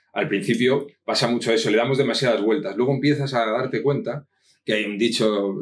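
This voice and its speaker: Speaking at a fairly quick pace, a man with a slight Asturian accent uses a medium pitch and ordinary pitch variation. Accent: slight northern Spanish (Asturian). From Spain (Madrid). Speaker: copywriter. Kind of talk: interview.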